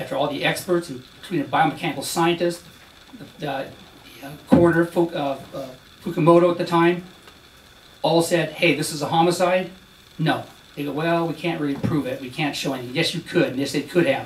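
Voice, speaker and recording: Amid noticeable background noise, a man talks at a fairly quick pace with a high pitch, fairly even intonation and big swings in loudness. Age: 60s. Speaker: retired police officer testifying. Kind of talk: testimony. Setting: senate hearing room. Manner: emotional, halting.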